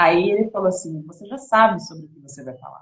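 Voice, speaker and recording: A woman with a somewhat breathy voice speaks at a fairly quick pace. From São Paulo state, Brazil. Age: 30s. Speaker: women's devotional preacher. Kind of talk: sermon.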